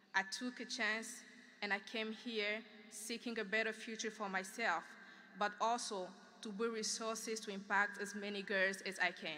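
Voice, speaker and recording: Her voice is fairly high, bright and sharp, as a woman speaks at a moderate pace in a monotone, flat intonation. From Democratic Republic of Congo. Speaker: graduating student speaker. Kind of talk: commencement speech. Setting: graduation ceremony in field house with audience.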